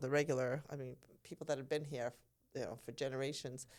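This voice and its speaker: A woman speaks at a moderate pace with an American accent. Her pitch is very deep and low. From Massachusetts, US. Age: 60s. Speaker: nurse. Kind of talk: casual chat.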